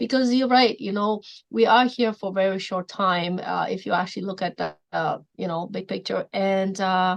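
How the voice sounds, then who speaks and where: A woman with a Polish accent, medium pitch and ordinary pitch variation, at a moderate pace with hardly any pauses, against a quiet background. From Poland. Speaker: mindset coach. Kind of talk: podcast interview.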